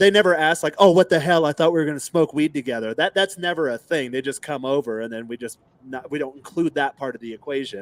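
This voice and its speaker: In a dry, close sound with no echo, a man with a fairly high pitch talks at a very fast pace with hardly any pauses, ordinary pitch variation and big swings in loudness. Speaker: podcast co-host, dating coach. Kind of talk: casual podcast chat. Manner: halting, filler-heavy.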